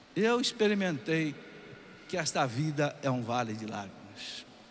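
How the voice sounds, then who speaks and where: Audible room echo surrounds a man with a fairly high pitch who speaks at a fairly slow pace, his pitch making very wide swings. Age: 60s. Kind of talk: sermon.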